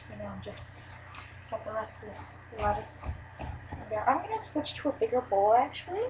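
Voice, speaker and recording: Loudness swings widely at a moderate pace, with noticeable background noise throughout. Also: woman. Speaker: cooking channel host. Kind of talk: cooking tutorial. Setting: grandma's house, webcam. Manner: casual, hesitant with fillers.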